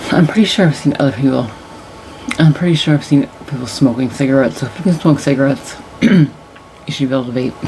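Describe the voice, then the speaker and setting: Soft-spoken and very fast, a woman with a very deep, low pitch and ordinary pitch variation talks with long, frequent pauses over noticeable background noise. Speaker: tarot reader. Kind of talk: casual chat. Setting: home at night, on camera. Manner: loud when animated, otherwise quiet; soft-spoken late at night.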